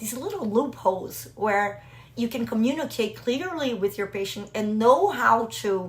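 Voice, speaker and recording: A woman's fairly high pitch and lively intonation at a fairly slow pace, with a slight Brazilian accent and noticeable background noise. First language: Portuguese. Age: 40s. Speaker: business mentor for doctors and IVF patient. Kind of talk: personal vlog talk to camera.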